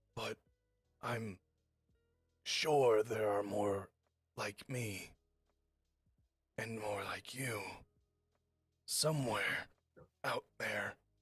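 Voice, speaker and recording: The put-on character voice is raspy and low-pitched, moving at a very slow pace with long, frequent pauses. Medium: actual play. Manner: cryptic, slow.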